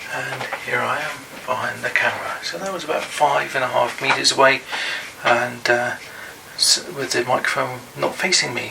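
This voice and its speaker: Noticeable background noise around a man talking at a moderate pace. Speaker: YouTuber reviewing gadgets. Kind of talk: product review tutorial. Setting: indoors room, recording test. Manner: soft-spoken. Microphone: far from the mic at times.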